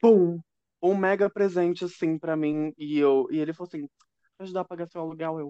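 A woman talks at a fairly quick pace in a fairly low pitch, with a dark, mellow tone. The sound is dry and close with no echo, and her loudness swings widely. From São Paulo state (Guarulhos), Brazil. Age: 20s. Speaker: camgirl and content creator. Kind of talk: casual chat.

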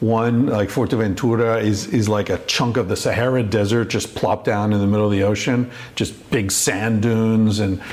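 A man speaks at a medium pitch and moderate pace. Noticeable background noise runs underneath. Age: 50s. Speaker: podcast host. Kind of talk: solo monologue; casual chat. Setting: in a home kitchen.

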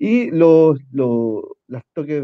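This is a man speaking with a Chilean accent. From Chile, Concepción. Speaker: political candidate and activist. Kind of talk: casual interview.

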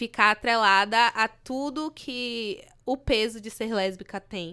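Intonation here is fairly even. The voice has a bright, sharp tone. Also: woman. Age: 20s. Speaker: journalism student, activist. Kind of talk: casual chat.

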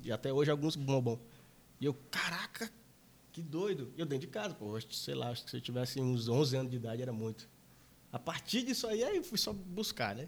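Somewhat breathy, a man talks at a fairly quick pace with medium pitch and lively intonation. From interior of Maranhão, Brazil. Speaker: electronic music DJ and producer. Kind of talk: casual chat.

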